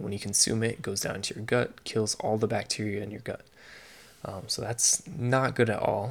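A somewhat breathy man's voice at a medium pitch, with an American accent. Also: ordinary pitch variation, fairly quick pace. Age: 20s. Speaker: podcast host. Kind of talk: solo podcast monologue. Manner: frequent fillers and hesitations.

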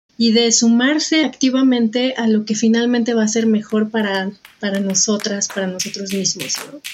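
A woman's somewhat breathy, fairly high voice at a fairly slow pace, with fairly even intonation. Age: 40s. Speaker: podcast host. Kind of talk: interview conversation.

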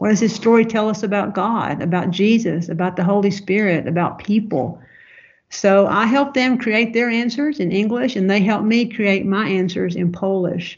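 A woman talks with a Southern US accent at medium pitch. Her pace is moderate and her pitch variation ordinary. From US South. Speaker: missionary language coach. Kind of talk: interview, personal reflection.

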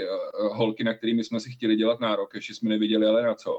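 A man speaks at a fairly quick pace. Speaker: podcast co-host. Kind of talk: casual chat.

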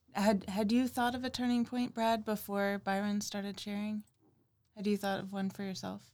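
In a very clean recording with a silent background, a woman with an American accent uses a plain, everyday voice at a medium pitch, with fairly even intonation and a moderate pace. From Houston, Texas. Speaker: nonprofit assistant director. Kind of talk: casual chat.

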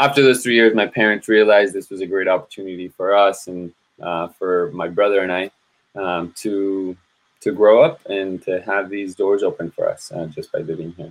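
A man with a Spanish accent speaks at a moderate pace and a fairly low pitch. His loudness swings widely, while his pitch varies in an ordinary way. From Colombia, moved to San Jose, California at eight. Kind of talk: casual chat. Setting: video call.

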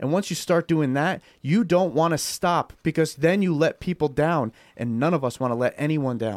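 A man with an ordinary speaking voice talks at a moderate pace with hardly any pauses, fairly high in pitch with ordinary pitch variation. The recording is very clean with a silent background and a dry, close sound with no echo. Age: 30s. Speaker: radio show co-host. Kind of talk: casual chat; motivational talk. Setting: studio.

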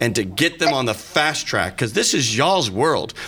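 Noticeable background noise can be heard. A man speaks at a moderate pace. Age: 50s. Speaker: radio host. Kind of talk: radio talk show.

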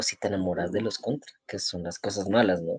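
The sound is dry and close, with no echo. A man speaks in a dark, mellow tone. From Colombia. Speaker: podcast co-host. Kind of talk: casual chat.

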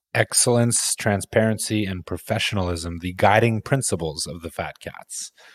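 At a moderate pace and with hardly any pauses, a man with an unremarkable speaking voice talks at a fairly low pitch with ordinary pitch variation. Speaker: AMA host. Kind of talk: hosting AMA. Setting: online audio space.

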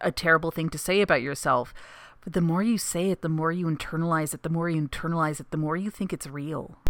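A bright, sharp tone moves at a fairly quick pace with ordinary pitch variation, captured in a very clean recording against a silent background. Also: woman. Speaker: streamer and podcast host. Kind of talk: casual chat about chronic pain. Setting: live stream.

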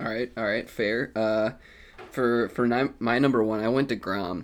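This is a normal speaking voice with fairly even intonation. The recording is very clean, with a silent background. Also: man. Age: 20s. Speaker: podcast host. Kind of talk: casual chat.

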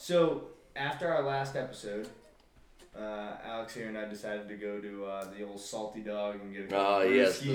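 A man's loudness swings widely as he talks at a moderate pace amid noticeable background noise. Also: fairly low pitch for a man, ordinary pitch variation. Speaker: podcast host.

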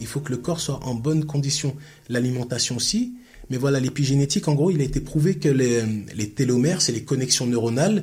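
Somewhat breathy, a man with a fairly high pitch speaks at a fairly quick pace. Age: 50s. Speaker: sports coach. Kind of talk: interview. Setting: studio. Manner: talkative, fluent.

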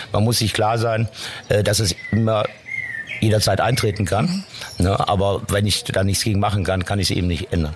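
Pausing long and often, a man speaks at a moderate pace with a fairly low pitch and fairly even intonation. His loudness stays very even over noticeable background noise. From western Germany, Cologne area. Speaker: lifeguard and pool supervisor. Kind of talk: interview.

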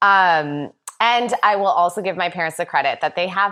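Over a quiet background, a woman with a bright, sharp tone speaks at a moderate pace with ordinary pitch variation. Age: 30s. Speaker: social worker and social impact consultant. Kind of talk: casual interview chat.

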